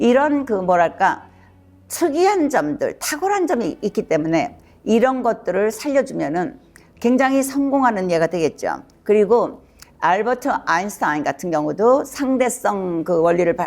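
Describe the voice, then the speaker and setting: Her pitch is fairly high and swings very widely. The woman talks at a fairly slow pace. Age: 70s. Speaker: psychiatrist. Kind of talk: educational talk. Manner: casual, with fillers.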